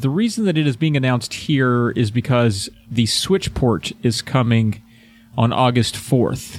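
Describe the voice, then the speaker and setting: A man's medium-pitched voice at a fairly slow pace, with ordinary pitch variation and very even loudness, over music in the background. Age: 30s. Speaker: video game podcast host. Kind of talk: casual chat. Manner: animated.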